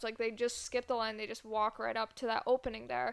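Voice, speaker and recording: A woman speaks with an American accent. Her pitch is fairly high and her pace fairly quick. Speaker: podcast co-host. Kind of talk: casual chat.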